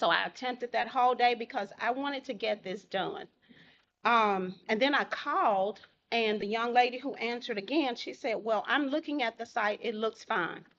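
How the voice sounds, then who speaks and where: A woman speaks with a Southern US accent. Her pitch is fairly high, with ordinary pitch variation. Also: moderate pace. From Holly Springs, Mississippi. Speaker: public commenter at city council meeting. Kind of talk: public comment. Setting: city council meeting.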